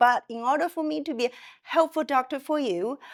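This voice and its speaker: A woman with a Chinese accent. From China. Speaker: psychiatrist. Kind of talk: interview conversation. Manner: halting, with frequent fillers and self-corrections.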